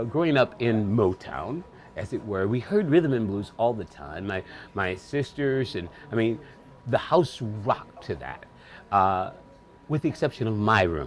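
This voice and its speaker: A man with an American accent speaks at a fairly slow pace. His pitch sits in the medium range and swings very widely. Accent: proper, articulate speech. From Michigan, Detroit area. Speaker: actor and entertainer. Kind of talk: interview. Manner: articulate, proper-sounding.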